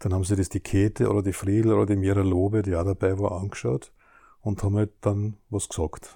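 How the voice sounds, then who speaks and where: A man with a fairly low pitch and a dark, mellow tone sounds somewhat breathy, keeping fairly even intonation on a very clean recording with a silent background. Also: very even loudness. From Austria, southern Burgenland. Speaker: children's book author. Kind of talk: casual interview. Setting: at his home.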